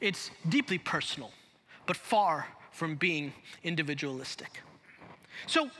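The speaker has an American accent and lively intonation. The pace is fairly slow. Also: man. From Chicago. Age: 40s. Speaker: pastor. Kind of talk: sermon. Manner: animated. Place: church. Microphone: headset.

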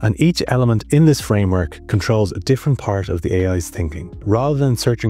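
A man's fairly low voice at a fairly quick pace, dry with no echo, faint music playing behind. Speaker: tech tutorial creator. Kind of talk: tutorial. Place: home room.

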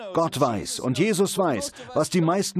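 The man has a warm tone and a high pitch. He speaks at a moderate pace. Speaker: preacher. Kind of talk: sermon, preacher in full flow, direct address to the congregation. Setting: church with congregation, televised service. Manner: emphatic, rhythmic, driving repetition of "Sie müssen nicht..."; warm, earnest, pastoral.

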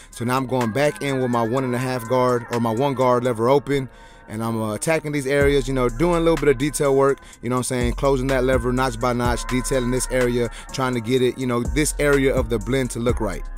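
Over music in the background, a man speaks very fast in a monotone, flat intonation, with a dry sound and no echo. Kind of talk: tutorial.

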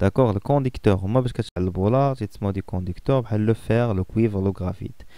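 A man with a Moroccan accent speaks at a fairly slow pace and a fairly low pitch, with ordinary pitch variation and hardly any pauses. His tone is dark and mellow, and the recording is very clean with a silent background. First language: Moroccan Arabic (speaking French). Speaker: physics teacher. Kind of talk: lecture. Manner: halting.

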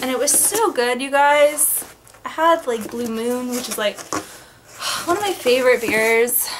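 Noticeable background noise runs behind a woman's voice. She speaks at a fairly slow pace and a high pitch. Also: ordinary pitch variation. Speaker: vlogger. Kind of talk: casual vlog chat. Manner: loose, drawling tipsy voice. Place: home room. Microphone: webcam.

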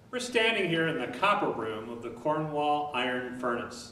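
A man speaks at a moderate pace with ordinary pitch variation, his voice carrying audible room echo over light background noise. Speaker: tour guide. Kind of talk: guided tour explanation. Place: hall.

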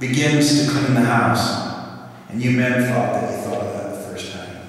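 With strong room echo, a man speaks with fairly even intonation. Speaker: lay speaker or preacher. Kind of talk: religious talk, storytelling. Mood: warm, light humor. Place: church. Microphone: podium.

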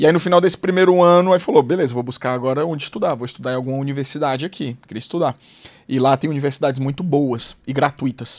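At a very fast pace, the speaker sounds animated, with ordinary pitch variation against a quiet background. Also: man, fairly high pitch for a man. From Fortaleza, Ceará, Brazil; Ceará, Brazil. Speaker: former investment banker; podcast guest. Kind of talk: interview storytelling. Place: studio. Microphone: studio mic.

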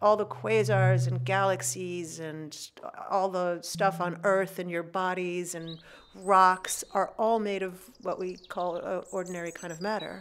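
A normal speaking voice at a fairly slow pace. Its pitch variation is ordinary. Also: woman, fairly low pitch for a woman. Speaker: astrophysicist. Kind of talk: science explainer narration. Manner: casual, conversational with fillers.

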